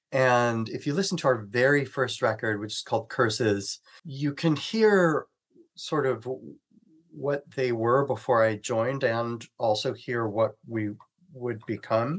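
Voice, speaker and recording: The man has an unremarkable speaking voice at medium pitch, with ordinary pitch variation. He talks at a fairly slow pace against a quiet background. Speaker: rock singer and musician. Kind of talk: casual interview chat.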